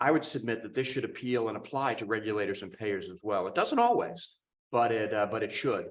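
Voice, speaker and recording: There is audible room echo as a man with an American accent talks at a fairly quick pace and a medium pitch, with ordinary pitch variation and big swings in loudness. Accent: Boston accent, comes out over time. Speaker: cardiologist, professor of medicine. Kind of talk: conference talk. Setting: symposium stage with audience.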